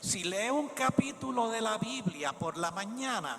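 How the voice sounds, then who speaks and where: Amid noticeable background noise, a man speaks fairly slowly in a high voice with very wide pitch swings. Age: 70s. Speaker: preacher. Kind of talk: sermon.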